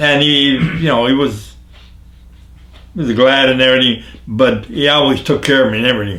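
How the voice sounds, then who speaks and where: A man with a northeastern Pennsylvania accent speaks fairly quickly at a medium pitch, with ordinary pitch variation and very even loudness. Long, frequent pauses break his speech, and the room echo is audible. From northeastern Pennsylvania, Jessup. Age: 90s. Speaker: elderly local resident interviewed on town history. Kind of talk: casual interview. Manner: halting, repeats words.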